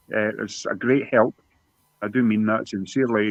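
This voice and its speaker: A man talks with a Scottish accent. His pace is fairly quick. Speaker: YouTube guest on a mental health talk. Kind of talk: emotional personal testimony. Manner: halting.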